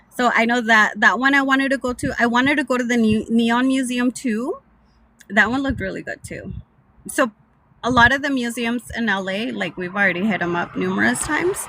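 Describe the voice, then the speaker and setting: Fairly high in pitch, a woman talks at a fairly quick pace with a slight Mexican accent. Her pitch variation is ordinary. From Southern California (Mexican-American, born Mexico City). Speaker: live streamer. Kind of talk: casual chat. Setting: in a car.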